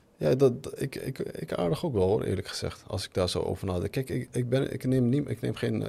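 With vocal fry and a dark, mellow tone, the voice moves at a fairly quick pace with lively intonation and hardly any pauses. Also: man. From Netherlands, Moroccan family. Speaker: podcast host. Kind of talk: casual chat. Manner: halting.

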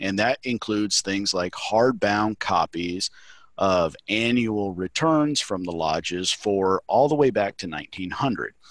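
With a Southern US accent, the speaker talks at a very slow pace with ordinary pitch variation, the sound dry and close with no echo against a quiet background. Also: man, fairly low pitch for a man. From Mississippi. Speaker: Masonic grand secretary and librarian. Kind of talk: casual interview.

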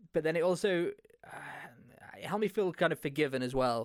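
A man with an East Midlands accent and lively intonation, on a very clean recording with a silent background. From England, Leicester. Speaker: podcast host. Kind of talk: solo monologue podcast.

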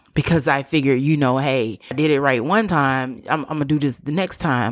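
A woman speaks in an animated tone. Her pace is fairly quick. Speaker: podcast host. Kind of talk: opinion monologue.

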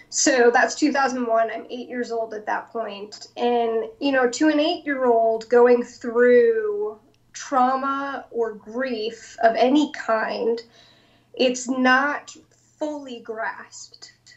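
At a very slow pace, a woman with an American accent speaks in a high voice, her intonation fairly even. Her loudness swings widely. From Long Island, New York. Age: 20s. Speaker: nonprofit founder and counselor. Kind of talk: interview conversation.

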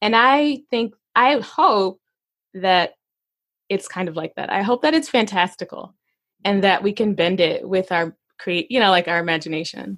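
A woman with an American accent uses a normal speaking voice, talking at a moderate pace with lively intonation. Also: medium pitch for a woman. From Arkansas, US South. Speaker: comedian and teaching artist. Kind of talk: casual interview chat.

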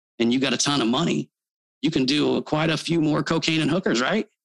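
A very fast delivery with vocal fry, in an American accent. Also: man. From Texas. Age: 40s. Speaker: marketing entrepreneur and pastor. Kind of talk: casual interview chat.

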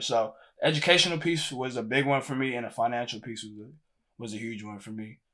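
On a very clean recording with a silent background, a man with an American accent speaks fairly quickly in an ordinary speaking voice, with medium pitch and ordinary pitch variation. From Houston, Texas. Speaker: music video director and student. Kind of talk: interview.

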